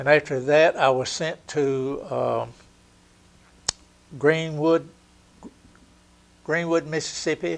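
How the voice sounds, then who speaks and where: With a Southern US accent, a man speaks very slowly in a fairly high, monotone, flat voice, leaving long, frequent pauses over noticeable background noise. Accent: Southern US (Georgia). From Georgia, US South. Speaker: war veteran. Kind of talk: oral history interview.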